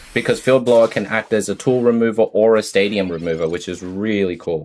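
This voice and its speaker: A man's fairly low voice with an Australian accent and ordinary pitch variation. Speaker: game streamer. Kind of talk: casual live stream chat. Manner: low-pitched, subdued; casual, halting with restarts.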